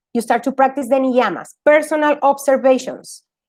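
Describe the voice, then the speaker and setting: A woman with a high pitch and a Spanish accent. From Argentina. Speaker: yoga teacher. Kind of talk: talk to an audience. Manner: halting.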